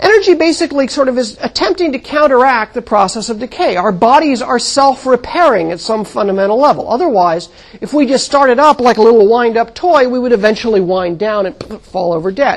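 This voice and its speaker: A woman with an American accent talks at a fairly quick pace and a high pitch, her pitch swinging very widely over noticeable background noise. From US Southwest (Mojave Desert). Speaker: astronomy professor. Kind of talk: lecture.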